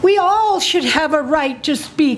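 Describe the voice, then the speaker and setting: Over noticeable background noise and audible room echo, a woman speaks at an extremely high pitch and a fairly slow pace, her intonation lively. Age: 80s+. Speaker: citizen testifying at public hearing. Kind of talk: public testimony. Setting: county commission meeting.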